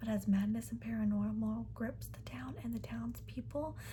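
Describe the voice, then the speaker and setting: A soft-spoken woman at a moderate pace. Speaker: ASMR creator. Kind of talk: reading a book blurb aloud. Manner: soft-spoken, rambling.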